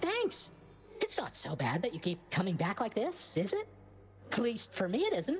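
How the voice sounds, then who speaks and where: Over clear background noise, a female-sounding voice uses a put-on character voice at a moderate pace. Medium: video game. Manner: casual, upbeat.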